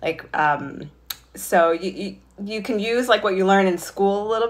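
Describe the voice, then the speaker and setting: A woman speaks in a normal speaking voice with an American accent, at a moderate pace. Her pitch is medium, with ordinary pitch variation. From New York State (Highland Falls); New York. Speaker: fashion magazine director. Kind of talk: career talk for school students. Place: home room. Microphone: phone near.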